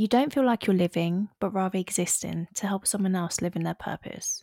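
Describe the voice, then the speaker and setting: A woman with a British accent talks at a moderate pace in a medium pitch with ordinary pitch variation. The recording is very clean with a silent background, dry and close with no echo. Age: 20s. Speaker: podcast host. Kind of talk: scripted intro; casual monologue.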